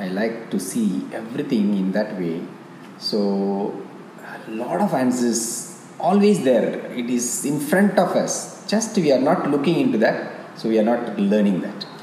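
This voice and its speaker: Amid noticeable background noise and audible room echo, a man with a Tamil accent talks fairly slowly at a medium pitch, his pitch swinging very widely. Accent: Indian (Tamil) English. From South India (Tamil-speaking). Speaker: yoga teacher. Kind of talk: interview. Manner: halting.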